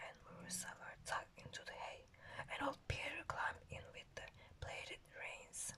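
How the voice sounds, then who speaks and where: Someone is whispering. The pace is moderate. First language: not English. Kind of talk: ASMR book reading. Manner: soft, calm.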